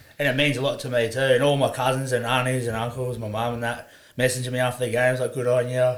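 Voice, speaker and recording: A man's medium-pitched, monotone, flat delivery at a very fast pace, with audible room echo. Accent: Australian. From Queensland, Sunshine Coast. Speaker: rugby league player. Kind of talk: casual chat.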